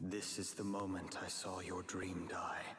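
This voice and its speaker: A put-on character voice from a man, very deep and low with monotone, flat intonation, at a moderate pace amid clear background noise and slight echo. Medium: video game. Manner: measured, formal.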